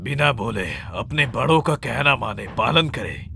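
Over clear background noise, a man with a fairly high voice speaks at a fairly slow pace with ordinary pitch variation. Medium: fan dub. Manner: harsh, scolding, authoritarian.

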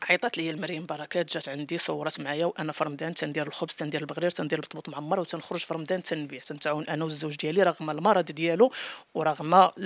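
A woman with a very deep, low voice talks at a very fast pace with hardly any pauses and fairly even intonation, in a dry sound with no echo. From Morocco. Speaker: home cook and YouTuber; YouTuber. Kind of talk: interview. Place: home room. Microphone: handheld.

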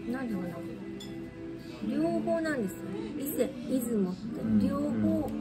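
Amid loud background noise, a woman speaks at a moderate pace with long, frequent pauses. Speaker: shrine guide. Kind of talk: casual explanatory talk. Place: cafe. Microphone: phone near.

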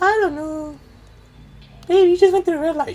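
A woman puts on a squeaky character voice at an extremely high pitch. She moves at a fairly quick pace with fairly even intonation. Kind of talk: comic overacting. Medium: machinima. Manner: breathy and coaxing.

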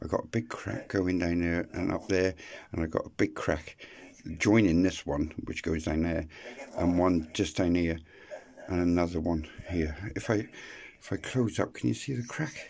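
A man with a very deep, low pitch speaks at a moderate pace, leaving long, frequent pauses. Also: ordinary pitch variation. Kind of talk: casual vlog chat. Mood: rough, emotional. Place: garage. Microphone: phone near.

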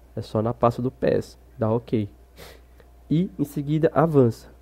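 With a dark, mellow tone and medium pitch, a man talks in a lively intonation. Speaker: gaming tutorial youtuber. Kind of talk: casual tutorial talk to camera.

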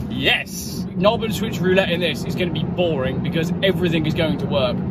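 A man speaks very fast in a dry sound with no echo, with loud background noise behind him. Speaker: car reviewer. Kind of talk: casual vlog chat. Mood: cheerful, joking. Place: car. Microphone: phone near.

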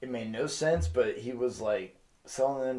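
A man at a moderate pace with ordinary pitch variation over a quiet background. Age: 30s. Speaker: movie review co-host. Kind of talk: casual chat. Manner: animated.

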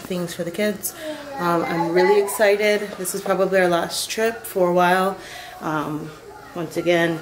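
Noticeable background noise sits behind this woman's voice. Her intonation stays fairly even. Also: moderate pace. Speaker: parent vlogger. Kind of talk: casual vlog chat. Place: home room. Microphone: phone near.

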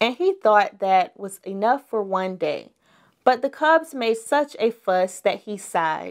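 With lively intonation, a passage is read aloud in a natural voice, the background quiet.

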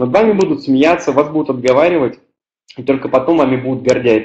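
Against a quiet background, a man talks at a fairly quick pace with long, frequent pauses and ordinary pitch variation. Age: 20s. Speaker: network marketing team leader; webinar presenter. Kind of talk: webinar presentation. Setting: online webinar with live chat. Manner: hesitant, many filler sounds. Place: home room. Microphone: webcam.

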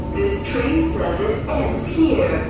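At a very slow pace, the voice comes through audible room echo and loud background noise. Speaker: recorded train announcer. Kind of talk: public transport announcement. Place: train.

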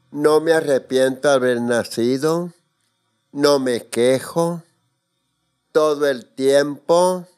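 Faint music plays in the background as a man speaks at a very slow pace, with long, frequent pauses and fairly even intonation. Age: 80s+. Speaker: interviewee. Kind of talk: casual chat. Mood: reflective, candid. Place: studio. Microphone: studio mic.

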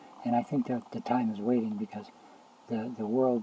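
The man keeps to a moderate pace. Noticeable background noise can be heard behind him. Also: dry sound with no echo. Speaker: religious video blogger. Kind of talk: casual vlog monologue on religious views. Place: home room. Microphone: webcam.

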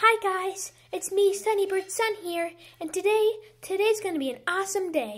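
Someone puts on a squeaky character voice. The pace is moderate. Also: woman, extremely high pitch for a woman. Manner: cheerful, upbeat.

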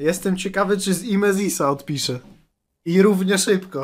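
At a moderate pace, a man talks with a high pitch. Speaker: streamer reacting to videos. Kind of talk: commentary. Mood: mocking, amused. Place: home room. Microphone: studio mic.

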